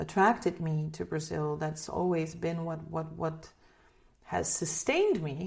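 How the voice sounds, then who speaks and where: A woman speaks with a slight Dutch accent. Her pitch is fairly low and her pace very slow. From Netherlands. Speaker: singer. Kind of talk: interview. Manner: halting, many repeated words.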